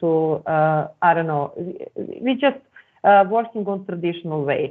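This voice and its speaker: A woman speaks at a fairly slow pace in a fairly low pitch with a Serbian accent. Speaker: academic presenter. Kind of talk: conference presentation. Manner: halting.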